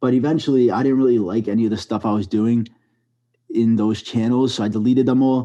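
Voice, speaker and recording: A man with a strong New York accent speaks at a very fast pace in a dark, mellow tone. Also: medium pitch for a man, fairly even intonation. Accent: thick New York. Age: 20s. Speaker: storytime animator YouTuber. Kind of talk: podcast interview.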